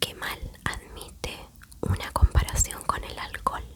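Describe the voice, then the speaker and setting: A woman whispering at a very slow pace, with noticeable background noise. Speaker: ASMR creator. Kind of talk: ASMR story reading. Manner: whispered, soft-spoken.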